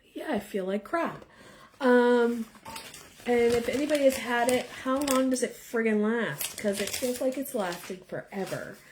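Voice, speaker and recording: A woman with a fairly high pitch speaks with lively intonation over noticeable background noise. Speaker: tarot reader. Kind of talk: live-stream tarot reading chat. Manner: casual, hesitant with fillers.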